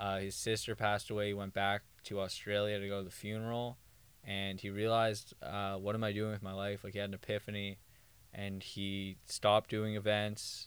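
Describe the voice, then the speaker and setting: A man with a Canadian accent talks at a moderate pace. His fairly low voice has a monotone, flat intonation. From Thornhill, outside Toronto. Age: 20s. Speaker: podcast co-host. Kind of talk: casual chat. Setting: home basement.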